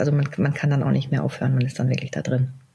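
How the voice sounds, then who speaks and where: The woman's pitch is very deep and low. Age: 40s. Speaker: CEO of a family pet-products company. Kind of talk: interview. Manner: hesitant, many filler sounds.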